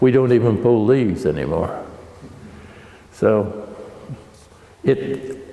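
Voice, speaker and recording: A man speaks with an American accent in a room with audible echo. Noticeable background noise can be heard. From Oregon, US Pacific Northwest. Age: 80s+. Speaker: vineyard owner and winemaker. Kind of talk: oral history interview. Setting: at a winery. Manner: halting, many repetitions.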